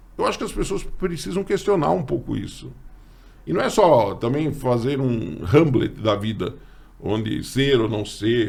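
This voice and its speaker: Man at a medium pitch with vocal fry, very wide pitch swings and a fairly slow pace, audible room echo around him. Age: 60s. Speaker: teacher and podcast host. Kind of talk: casual chat.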